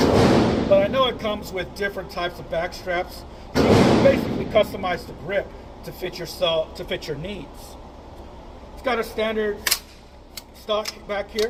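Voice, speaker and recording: With noticeable background noise, a man speaks at a high pitch and a moderate pace, with ordinary pitch variation. His loudness swings widely, and he takes long, frequent pauses. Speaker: firearms reviewer and instructor. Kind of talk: product review. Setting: outdoor shooting range.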